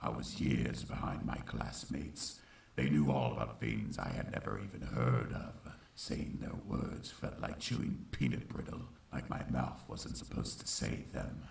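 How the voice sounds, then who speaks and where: In a put-on character voice, a man speaks with a solemn tone and a very deep, low pitch at a moderate pace over clear background noise. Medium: fan dub. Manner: solemn, reflective.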